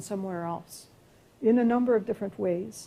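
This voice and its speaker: A woman speaks with a Quebec accent. Her tone is dark and mellow, at a medium pitch. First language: French. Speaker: professor. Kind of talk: lecture Q&A. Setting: lecture hall with audience and live stream. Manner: halting.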